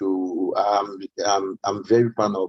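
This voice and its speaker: With a French accent, a man is talking. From Cameroon. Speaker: music media founder. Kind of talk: panel discussion. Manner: halting, many fillers.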